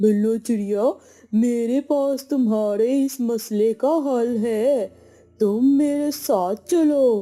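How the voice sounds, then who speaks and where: This cartoonish character voice sounds female, sits fairly high in pitch, moves at a very slow pace, and has music playing behind it. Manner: gentle, helpful.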